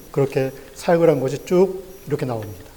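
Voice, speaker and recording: A man is heard speaking. Ordinary variation marks his pitch. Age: 60s. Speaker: pastor. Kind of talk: sermon.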